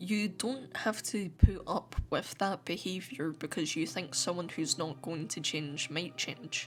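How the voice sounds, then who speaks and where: A woman speaks at a fairly slow pace in a fairly low pitch, with lively intonation and hardly any pauses. Music plays in the background. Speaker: YouTuber. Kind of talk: personal vlog monologue to camera. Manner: halting, with repeated words.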